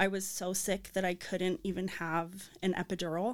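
The recording is very clean and the background silent. A woman talks in an American accent at a medium pitch. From Arizona. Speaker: mother sharing birth story. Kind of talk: testimony.

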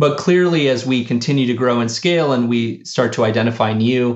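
With a General American accent, a man has an unremarkable speaking voice, medium pitch, ordinary pitch variation and a moderate pace. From US, of Argentine parents. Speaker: startup founder and CEO. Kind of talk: interview.

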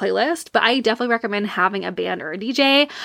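A woman's fairly high, bright and sharp voice, very fast and animated, with ordinary pitch variation and vocal fry. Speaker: wedding photographer, podcast host. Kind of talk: casual solo talk.

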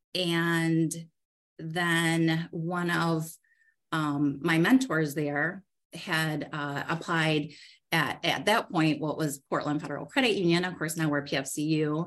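Against a quiet background, a woman with an American accent speaks at a very slow pace in a very deep, low pitch with fairly even intonation. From Michigan, US Midwest. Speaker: credit union CEO. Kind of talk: casual interview.

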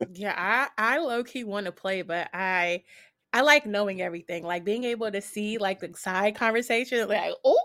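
A woman's bright, sharp voice of medium pitch comes through in a very clean recording against a silent background. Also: ordinary pitch variation, moderate pace. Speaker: content creator and streamer. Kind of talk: casual interview chat. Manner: friendly, chatty, laughs often.

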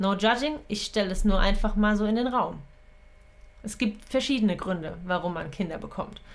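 In a normal speaking voice, a woman talks at a moderate pace, with a medium pitch and ordinary pitch variation. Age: 30s. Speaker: podcast host and coach. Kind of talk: solo monologue podcast. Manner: casual, with frequent fillers and laughs.

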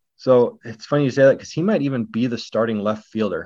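A man with an American accent and an ordinary speaking voice talks fairly quickly at a medium pitch, with ordinary pitch variation. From Northwest Washington, US. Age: 30s. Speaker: baseball blogger. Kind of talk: casual chat.

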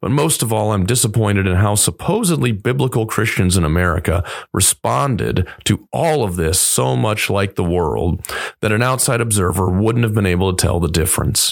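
With a fairly low pitch and vocal fry, a man speaks at a moderate pace with lively intonation and very even loudness. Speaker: pastor. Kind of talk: podcast commentary monologue. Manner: earnest, measured.

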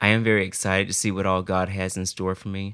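Over a silent background in a very clean recording, a man with an American accent speaks at a fairly quick pace in a fairly low pitch, his tone bright and sharp and his intonation monotone and flat. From US South, South Carolina. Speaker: college student. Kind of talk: casual chat.

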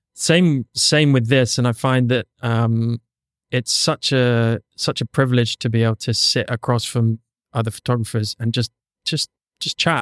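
A man with an ordinary speaking voice talks at a fairly slow pace and medium pitch with fairly even intonation, in a dry, close sound with no echo and a very clean recording with a silent background. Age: 40s. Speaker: podcast host and photographer. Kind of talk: casual interview. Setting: studio.

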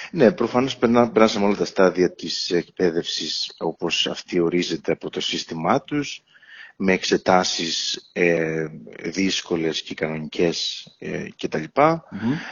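A man with a very deep, low pitch speaks at a fairly slow pace, his intonation lively. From Crete, Ierapetra. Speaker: cardiologist. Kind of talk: interview. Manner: halting.

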